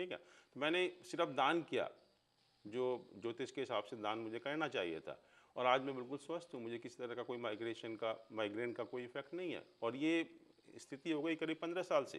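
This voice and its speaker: Using a plain, everyday voice, a man speaks at a moderate pace and medium pitch with lively intonation. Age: 60s. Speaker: astrologer. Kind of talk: interview.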